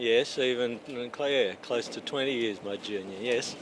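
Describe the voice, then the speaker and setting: The speech comes at a fairly slow pace with ordinary pitch variation. Background noise is noticeable. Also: man. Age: 60s. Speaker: masters speed skater. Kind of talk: casual interview.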